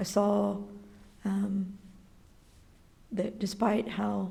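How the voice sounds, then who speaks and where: A woman of medium pitch speaks in a dark, mellow tone with vocal fry and monotone, flat intonation, in a space with audible room echo. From Texas (San Antonio, El Paso). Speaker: school library aide. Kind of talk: personal testimony interview. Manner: hesitant, many 'um' fillers.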